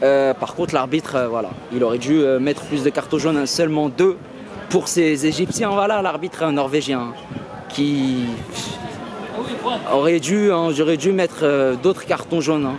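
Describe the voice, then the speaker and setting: The speaker talks at a moderate pace with long, frequent pauses. Audible room echo and noticeable background noise fill the recording. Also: man, fairly high pitch for a man, ordinary pitch variation. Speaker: football YouTuber. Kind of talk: match debrief vlog. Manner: hesitant, many fillers.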